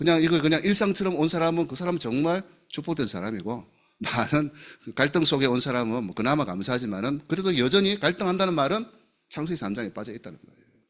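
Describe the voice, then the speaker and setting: A man's vocal-fry voice at a very fast pace, with very wide pitch swings and big jumps in loudness. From South Gyeongsang, Namhae county, Korea. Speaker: pastor. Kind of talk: sermon. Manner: animated.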